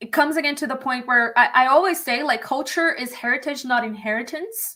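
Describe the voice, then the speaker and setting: A woman speaks fairly quickly in a raised, projected voice with a bright, sharp tone and high pitch. Her pitch varies in an ordinary way while her loudness swings widely. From Brazil, Minas Gerais (northeastern part). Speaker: attorney and author. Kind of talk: livestream conversation.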